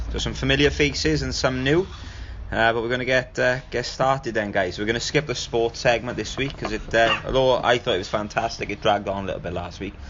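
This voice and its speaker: Very fast speech in a South Wales Valleys accent, ordinary pitch variation, over noticeable background noise. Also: man, medium pitch for a man. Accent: Welsh Valleys. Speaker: podcast host. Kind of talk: casual podcast talk.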